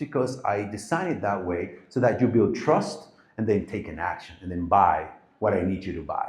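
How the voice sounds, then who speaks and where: This man's pitch swings very widely as he talks at a fairly quick pace. His voice is somewhat breathy, and room echo can be heard. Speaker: marketing agency founder giving a talk. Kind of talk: live presentation to an audience. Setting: stage with audience.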